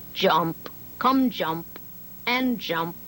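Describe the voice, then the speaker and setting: Over clear background noise, a woman does a put-on character voice at medium pitch. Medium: read story. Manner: curt, commanding.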